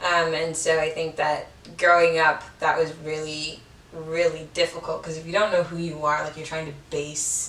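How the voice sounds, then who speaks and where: Speaking in a very deep, low voice with an American accent, a woman keeps a moderate pace and a flat, monotone intonation. Her loudness swings widely, and noticeable background noise runs underneath. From Chicago, West Side. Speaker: podcaster. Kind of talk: casual interview chat. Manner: hesitant, many fillers.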